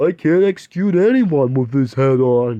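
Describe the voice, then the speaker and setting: A man uses a put-on character voice with lively intonation, medium pitch and a moderate pace. The sound is dry and close, with no echo. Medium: read story. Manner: kindly, hesitant.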